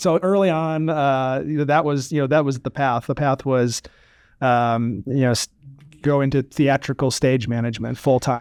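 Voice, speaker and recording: In a very clean recording with a silent background, a man with an American accent speaks at a moderate pace and medium pitch with ordinary pitch variation, the sound dry and close with no echo. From US Midwest, Chicago area. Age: 40s. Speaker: music venue general manager. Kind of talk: podcast interview. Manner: halting, frequent repetitions and fillers.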